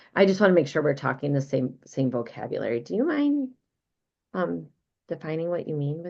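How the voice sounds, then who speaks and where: This woman, with a Midwestern American accent and a very deep, low voice, talks at a fairly quick pace with lively intonation. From US Midwest. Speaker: business coach. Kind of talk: live online training. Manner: animated.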